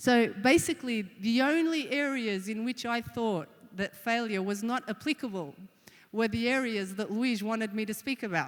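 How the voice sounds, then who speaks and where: A woman with an Australian accent talks at a moderate pace, her fairly high voice carrying lively intonation. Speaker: conference speaker. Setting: stage.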